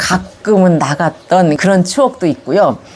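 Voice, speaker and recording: A woman speaks over noticeable background noise. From Gyeonggi Province, Yongin (South Korea). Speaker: senior recounting her life story. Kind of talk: autobiographical storytelling to camera. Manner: conversational, reflective.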